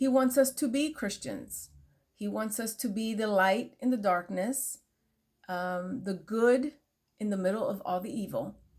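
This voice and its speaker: Somewhat breathy, a woman speaks at a fairly slow pace with a fairly high pitch and ordinary pitch variation. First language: Spanish. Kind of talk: casual faith talk to camera. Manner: halting, many fillers.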